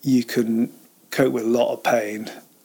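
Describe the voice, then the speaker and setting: A man's voice over noticeable background noise. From Cambridge, England. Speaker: fell runner. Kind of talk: casual interview chat.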